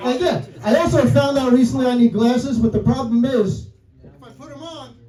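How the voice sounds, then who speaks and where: With a New York accent and lively intonation, the speaker moves at a fairly quick pace with big swings in loudness over noticeable background noise. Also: man, extremely high pitch for a man. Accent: old school New York. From New York City. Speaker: comedian. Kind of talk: stand-up. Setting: stage with audience.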